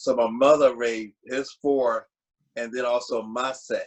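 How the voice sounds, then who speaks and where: A man with a Virginia accent talks at a medium pitch and a fairly slow pace. His intonation is monotone and flat. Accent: US South, Virginia. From Virginia, Lynchburg. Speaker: community father figure. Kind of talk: panel interview.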